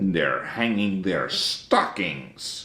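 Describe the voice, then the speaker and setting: A man growls in a put-on character voice. His pitch is very deep and low. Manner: snarling sneer.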